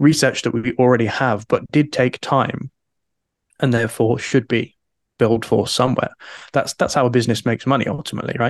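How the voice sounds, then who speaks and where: A man with an ordinary speaking voice talks at a fairly quick pace and medium pitch, with fairly even intonation. The background is quiet and the sound is dry and close with no echo. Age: 30s. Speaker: freelance writer and author. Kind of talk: interview.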